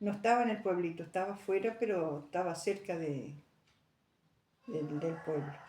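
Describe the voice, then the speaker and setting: A woman speaks with a fairly low pitch and a dark, mellow tone. Her long pauses come often. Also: ordinary pitch variation, moderate pace. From Argentina, Santa Ana. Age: 80s+. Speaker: elderly interviewee. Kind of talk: oral history interview. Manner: halting.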